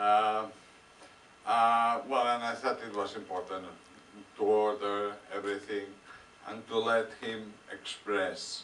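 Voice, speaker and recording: Monotone and flat, a man with a fairly low pitch speaks very slowly with long, frequent pauses and big swings in loudness, in a room with audible echo. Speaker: film director. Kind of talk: Q&A with audience, interpreting. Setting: cinema stage with audience. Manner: halting, many fillers.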